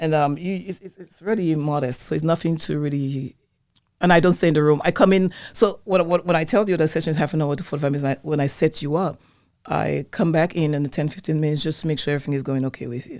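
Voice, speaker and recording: Very fast and very deep, a woman's low voice moves with ordinary pitch variation over a very clean recording with a silent background. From Dominica, West Indies. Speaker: wellness business owner, colon hydrotherapist. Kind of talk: interview. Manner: halting, with restarts.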